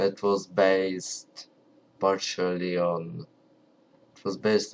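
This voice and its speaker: A man's very deep, low voice at a very slow pace. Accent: strong Ukrainian. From Ukraine. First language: Ukrainian. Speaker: language hobbyist vlogger. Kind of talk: casual tutorial. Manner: halting, many fillers; not loud.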